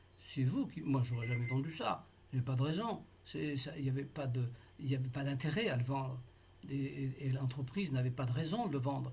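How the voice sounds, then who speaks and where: Somewhat breathy, the voice goes along at a moderate pace. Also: man. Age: 80s+. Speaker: taxpayer in a dispute. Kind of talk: tense phone appeal with tax official. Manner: halting, many hesitations.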